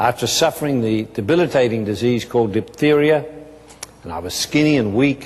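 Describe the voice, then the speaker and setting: Heard over noticeable background noise, a man with an Australian accent speaks at a moderate pace and medium pitch. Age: 70s. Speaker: businessman. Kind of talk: testimony.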